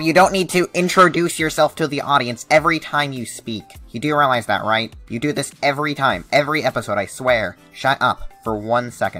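Faint background music under a man's fairly high-pitched voice at a fairly quick pace. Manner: exasperated, sarcastic.

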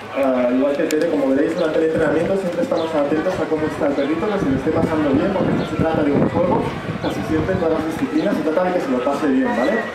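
Words come at a very fast pace with hardly any pauses, over loud background noise and audible room echo. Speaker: presenter. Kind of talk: stage announcement to audience. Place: stage.

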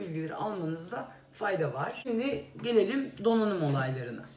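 A woman talks at a fairly quick pace with a medium pitch, ordinary pitch variation and a slightly mellow tone. Vocal fry runs through her voice, and faint background noise sits underneath.

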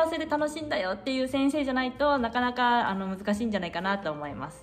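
A woman speaks with faint music in the background. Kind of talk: casual vlog chat. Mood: calm, friendly. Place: home room.

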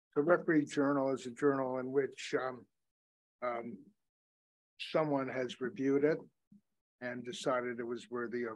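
Fairly even in intonation, a man talks with long, frequent pauses against a quiet background. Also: moderate pace. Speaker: professor testifying as expert witness. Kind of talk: courtroom testimony. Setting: courtroom. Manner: halting. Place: office. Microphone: video call.

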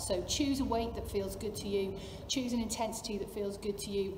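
A woman's fairly quick, fairly even-toned delivery amid noticeable background noise. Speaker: fitness coach. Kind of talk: workout intro talk to camera. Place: gym. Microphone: camera far.

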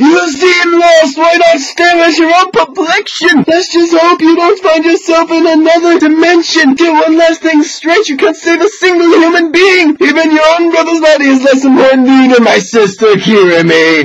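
A man uses a put-on character voice at an extremely high pitch, talking at a moderate pace with hardly any pauses. Clear background noise is present.

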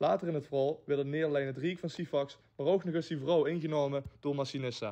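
Here a man talks at a fairly quick pace in a fairly high pitch. His intonation stays fairly even. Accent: Limburg. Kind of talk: narrated introduction.

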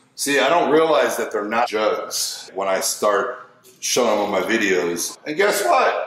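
A man speaks at a fairly slow pace. There is audible room echo and light background noise. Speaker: fitness vlogger. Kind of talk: casual vlog chat. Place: kitchen.

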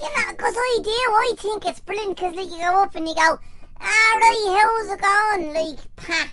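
Projecting in a raised voice, a woman with an Irish accent speaks at a moderate pace with an extremely high pitch, a bright, sharp tone and ordinary pitch variation. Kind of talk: casual comedic chat.

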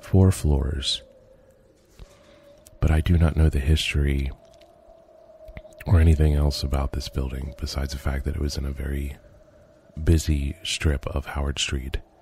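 Over music in the background, the speaker talks at a moderate pace in a flat monotone, leaving long, frequent pauses. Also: man. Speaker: urban explorer video creator. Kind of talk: narrated video commentary. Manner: hesitant with fillers.

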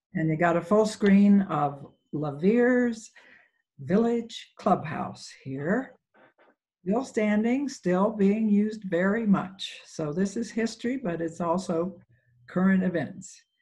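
The background is quiet. The speech comes at a very slow pace. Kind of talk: lecture. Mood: warm, lightly humorous. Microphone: video call.

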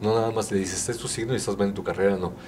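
There is light background noise as a man speaks with a fairly low pitch. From Mexico, Guanajuato. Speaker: artisan fair exhibitor, vocational advisor. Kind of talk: interview. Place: studio. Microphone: handheld.

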